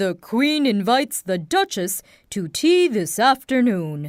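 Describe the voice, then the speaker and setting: In a put-on character voice that sounds female, the speaker goes at a fairly slow pace with a fairly high pitch and very wide pitch swings. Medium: read story. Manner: bossy, declaring.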